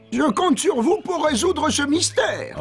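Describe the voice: Over music in the background, a man does a cartoonish character voice at an extremely high pitch and a moderate pace.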